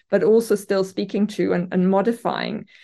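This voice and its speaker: Dark, mellow tone in a German accent, with fairly even intonation, moderate pace and a quiet background. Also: woman. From Germany. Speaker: literature professor. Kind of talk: interview. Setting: remote from her office.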